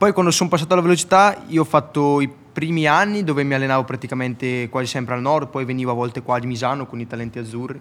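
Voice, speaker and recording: Very fast speech from a man of medium pitch with ordinary pitch variation and hardly any pauses, over noticeable background noise. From Italy. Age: young. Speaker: motorcycle racer. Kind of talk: casual interview.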